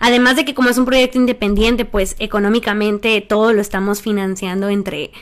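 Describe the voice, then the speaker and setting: This woman talks at a fairly quick pace with a fairly high pitch. Her intonation stays fairly even. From Sonora, Mexico (Empalme). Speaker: singer-songwriter. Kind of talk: interview.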